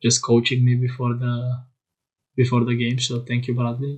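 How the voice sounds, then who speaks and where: A man talks quietly in a somewhat breathy way. His pitch sits in the medium range. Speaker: YouTuber playing card game. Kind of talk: casual chat. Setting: childhood bedroom at night. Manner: quiet, keeping voice down.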